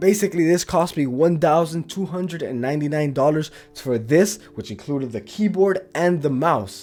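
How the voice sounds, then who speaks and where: Music plays in the background as a man talks at a fairly high pitch with ordinary pitch variation. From Latin America. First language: Spanish. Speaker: YouTuber. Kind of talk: desk tour video. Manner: casual, some false starts.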